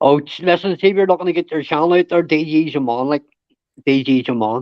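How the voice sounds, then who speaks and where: This man's pitch is fairly high and varies in an ordinary way. He rattles along very fast. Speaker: live stream panel host. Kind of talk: casual chat. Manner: animated.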